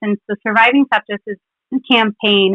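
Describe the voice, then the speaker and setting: The speaker has a slight Philadelphia accent. The intonation stays fairly even. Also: woman. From Philadelphia, US. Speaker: clinical pharmacist. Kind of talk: scripted literature presentation.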